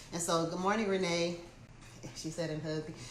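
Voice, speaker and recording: A woman talks with fairly even intonation at a fairly low pitch. Audible room echo and noticeable background noise surround her. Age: 50s. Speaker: motivational speaker and real estate agent. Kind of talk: casual livestream talk.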